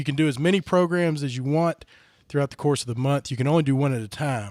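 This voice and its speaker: Speaking at a fairly quick pace with a Southern US accent, a man uses a fairly high pitch and ordinary pitch variation on a very clean recording with a silent background and a dry, close sound with no echo. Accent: Southern US, country. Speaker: podcast host. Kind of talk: casual chat.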